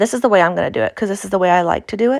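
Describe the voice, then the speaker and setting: A woman speaks with an Appalachian accent and ordinary pitch variation. The recording is very clean, with a silent background. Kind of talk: tutorial. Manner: casual, halting.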